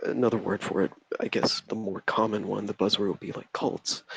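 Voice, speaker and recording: Soft-spoken and fairly low in pitch, a man talks with a dry, close sound and no echo. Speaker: caller, member of a religious sect. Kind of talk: personal testimony. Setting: call into a live stream. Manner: halting.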